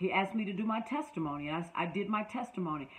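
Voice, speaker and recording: The voice, in a Southern US accent, has an animated tone and very wide pitch swings. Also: woman. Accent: Southern US, sounds country. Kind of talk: online class, motivational teaching. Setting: online class.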